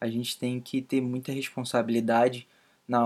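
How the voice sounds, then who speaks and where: In a medium pitch, a man talks with monotone, flat intonation. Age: 20s. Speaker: podcast co-host. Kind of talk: casual chat.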